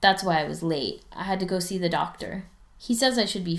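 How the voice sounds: Pitch varies in an ordinary way across a natural reading voice.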